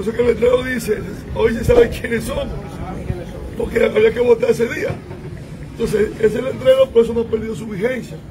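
A man talking at a fairly quick pace with long, frequent pauses, crowd noise in the background. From Dominican Republic. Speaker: congressman. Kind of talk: political meeting talk. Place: street. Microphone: phone near.

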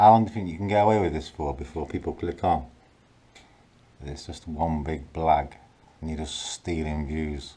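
A man speaks in a very deep, low voice with a dark, mellow tone. He leaves long, frequent pauses. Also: ordinary pitch variation, moderate pace. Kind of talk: casual vlog chat, complaining. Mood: frustrated, annoyed. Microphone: phone near.

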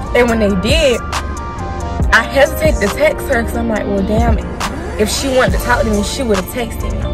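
A woman speaks at a moderate pace while music plays clearly in the background. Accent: American. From South Carolina. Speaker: college student. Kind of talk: casual mukbang talk to camera. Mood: relaxed, chatty storytelling. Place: car. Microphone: phone near.

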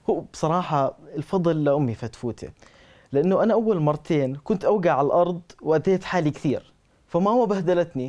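A man with a high pitch and a dark, mellow tone, ordinary pitch variation, moderate pace, very even loudness, quiet background. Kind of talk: scripted dialogue, storytelling. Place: studio. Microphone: lapel.

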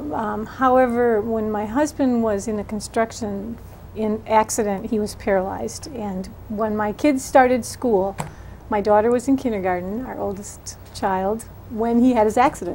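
With an American accent, the speaker keeps a fairly even intonation at a moderate pace over light background noise. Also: woman. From Wisconsin. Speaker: political candidate; candidate. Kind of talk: interview. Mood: earnest, engaged. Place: studio.

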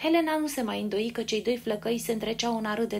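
An unforced reading voice carries the clip.

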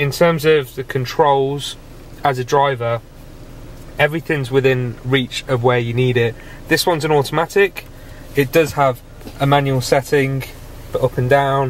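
Over light background noise, a man speaks with fairly even intonation and long, frequent pauses, the sound dry with no echo. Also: moderate pace. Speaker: car reviewer. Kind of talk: casual review walkthrough. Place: car.

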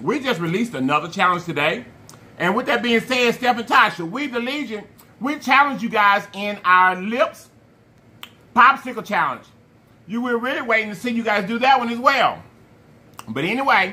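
A man projects a raised voice, bright and sharp, with lively intonation and long, frequent pauses. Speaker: food challenge host. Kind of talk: casual vlog chat. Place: home room. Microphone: phone near.

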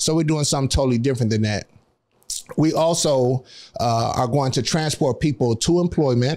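A man's dark, mellow voice at a fairly quick pace, with ordinary pitch variation, against a quiet background. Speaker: guest, nonprofit employment program founder. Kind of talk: casual conversational interview. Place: studio. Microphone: studio mic.

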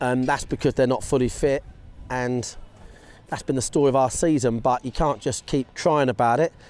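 A man at a very fast pace, dark and mellow in tone, with fairly even intonation and a dry sound with no echo. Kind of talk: interview answer. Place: stadium.

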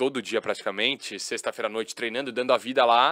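A man's voice, bright and sharp in tone, comes through over a quiet background. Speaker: sports TV commentator. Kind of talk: casual chat. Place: studio. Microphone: studio mic.

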